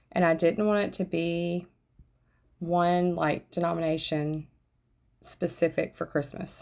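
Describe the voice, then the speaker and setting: A woman with a Southern US accent at fairly low pitch, fairly slow and monotone, with flat intonation and long, frequent pauses. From US South. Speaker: craft YouTuber. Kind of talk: tutorial. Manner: conversational.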